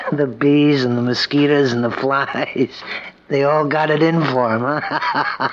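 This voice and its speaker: This man talks rather slowly. Clear background noise sits beneath the speech. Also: fairly even intonation. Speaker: radio drama actor, young assistant. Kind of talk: old-time radio drama. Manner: breezy, slangy.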